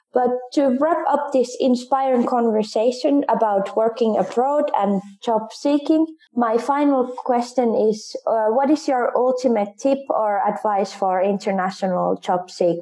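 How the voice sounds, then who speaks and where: A woman with a Finnish accent speaks at high pitch and a fairly slow pace, with ordinary pitch variation. Her loudness stays very even over noticeable background noise. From Finland. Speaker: student podcast interviewer. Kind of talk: interview. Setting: studio.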